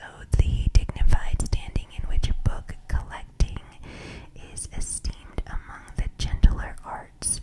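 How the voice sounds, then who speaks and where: A woman whispers fairly slowly while noticeable background noise carries on. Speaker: ASMR reader. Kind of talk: whispered book reading for sleep. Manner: whispered, soft-spoken.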